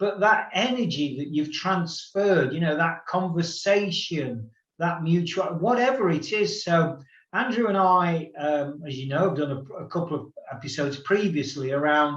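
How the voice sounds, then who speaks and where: A man's high-pitched voice with lively intonation, plus audible room echo. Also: moderate pace. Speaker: podcast host. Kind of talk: casual chat. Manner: halting.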